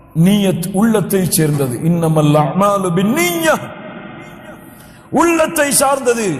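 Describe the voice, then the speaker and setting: Amid noticeable background noise, a high-pitched man speaks with very wide pitch swings. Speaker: Islamic preacher. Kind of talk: religious sermon (bayan).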